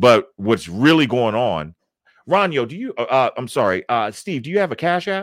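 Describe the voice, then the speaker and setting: A man with an American accent speaks at a moderate pace, his very wide pitch swings and big swings in loudness captured in a very clean recording with a silent background and a dry, close sound with no echo. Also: medium pitch for a man. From Baltimore, Maryland. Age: 40s. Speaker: YouTube content creator. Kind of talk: casual interview.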